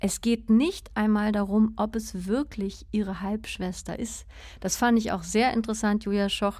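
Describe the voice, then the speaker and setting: Speaking at a fairly slow pace, a woman with a fairly high, somewhat breathy voice keeps a flat monotone, recorded very cleanly against a silent background. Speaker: radio literature host. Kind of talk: radio interview. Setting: radio studio.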